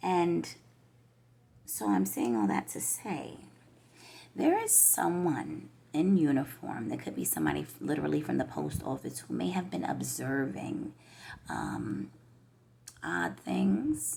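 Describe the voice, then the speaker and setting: The speaker, with an American accent, goes at a fairly slow pace, with long, frequent pauses. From New York. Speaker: tarot reader. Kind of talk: tarot reading monologue. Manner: slow, hesitant with fillers.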